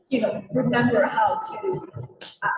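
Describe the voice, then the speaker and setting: Audible room echo surrounds a woman talking fairly slowly. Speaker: city policy advisor for refugees. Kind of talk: public presentation at community meeting. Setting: community council meeting.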